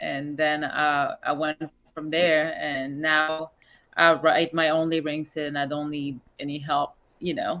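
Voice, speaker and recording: A woman speaks very slowly with a non-native accent. Her very deep, low pitch carries a bright, sharp tone. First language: not English. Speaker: musician. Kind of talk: interview.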